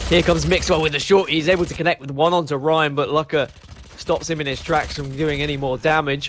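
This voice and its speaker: A man with a British accent talks at a very fast pace in a fairly high pitch. His intonation is monotone and flat, and there is noticeable background noise. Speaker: esports caster. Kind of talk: live commentary.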